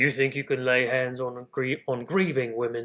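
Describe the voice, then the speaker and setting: In a put-on character voice, a man growls at a medium pitch and a moderate pace. His voice is gruff, with a menacing tone. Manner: growling, menacing.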